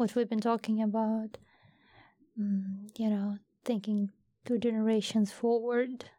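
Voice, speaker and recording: Speaking at a fairly slow pace with long, frequent pauses, a woman with a fairly high pitch sounds somewhat breathy, her dark, mellow tone held at very even loudness and monotone, flat intonation. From Ukraine (Donbas, Horlivka). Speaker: Ukrainian volunteer. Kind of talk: casual interview. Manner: halting.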